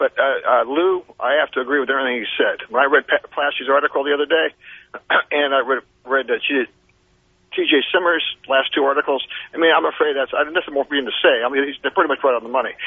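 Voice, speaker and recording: The man talks at a very fast pace with fairly even intonation. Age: 60s. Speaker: caller. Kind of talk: casual chat. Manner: halting.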